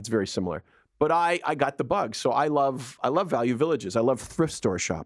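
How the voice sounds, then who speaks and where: On a very clean recording with a silent background, a man at medium pitch speaks at a fairly quick pace with vocal fry and very wide pitch swings. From Edmonton, Alberta, Canada. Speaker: radio host. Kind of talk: casual chat.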